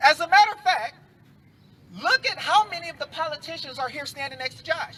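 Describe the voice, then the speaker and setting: Over noticeable background noise, a man talks at a fairly quick pace in a raised, projected voice pitched extremely high. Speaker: civil rights activist speaker. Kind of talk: rally speech. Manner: animated.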